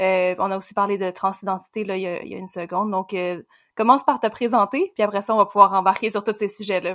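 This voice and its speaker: Over a very clean, silent background, a woman talks at a very fast pace and a medium pitch, with fairly even intonation and big swings in loudness. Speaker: podcast co-host. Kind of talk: interview conversation.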